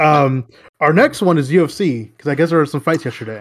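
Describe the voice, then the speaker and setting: A plain, everyday voice from a man, pitched fairly high, moderate in speed, with ordinary pitch variation. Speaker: basketball podcast co-host. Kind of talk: casual chat.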